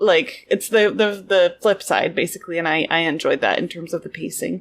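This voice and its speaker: A woman talks with hardly any pauses. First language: French. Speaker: podcast co-host. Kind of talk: casual chat.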